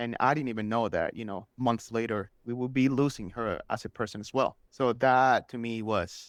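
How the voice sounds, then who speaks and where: A man speaks with a Spanish accent and fairly even intonation. He hardly pauses at all. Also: medium pitch for a man, moderate pace, very clean recording, silent background. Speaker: superfan guest. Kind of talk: podcast interview. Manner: casual, filler-heavy.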